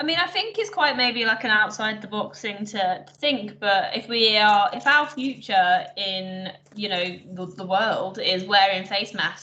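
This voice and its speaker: A plain, everyday voice moves at a fairly slow pace with lively intonation, hardly any pauses, and big swings in loudness. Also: woman, fairly high pitch for a woman. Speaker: trainee. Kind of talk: training session discussion.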